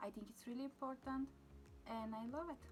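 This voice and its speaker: A woman with a non-native accent, music in the background. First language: not English. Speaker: beauty vlogger. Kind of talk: makeup tutorial. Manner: casual, with fillers.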